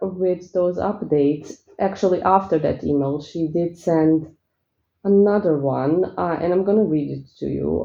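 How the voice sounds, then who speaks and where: A woman's relaxed, fairly slow speech in a strong Eastern European accent. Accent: thick Eastern European. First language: not English. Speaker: spiritual coach and spell seller. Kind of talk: casual vlog talk. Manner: relaxed, peaceful.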